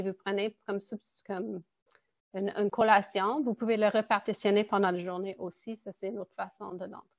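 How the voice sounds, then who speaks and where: A woman with a plain, everyday voice speaks at a moderate pace and medium pitch, her intonation fairly even. The sound is dry and close with no echo, and the background is quiet. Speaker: nutritionist. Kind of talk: presentation.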